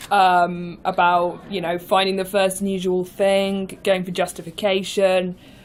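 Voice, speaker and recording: A woman's medium-pitched voice in a British accent, monotone and flat, at a fairly slow pace with hardly any pauses, on a very clean recording with a silent background. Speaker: improviser. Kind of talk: casual chat.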